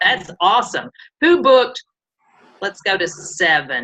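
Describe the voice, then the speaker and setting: Very wide pitch swings and a fairly slow pace, with an American accent. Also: woman. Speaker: sales team leader / workshop presenter. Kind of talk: online training workshop.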